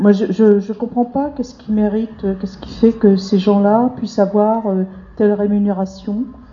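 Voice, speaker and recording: A woman speaks with big swings in loudness over noticeable background noise. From rural France. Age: 50s. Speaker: debate participant, unemployed social worker. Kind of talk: public group discussion.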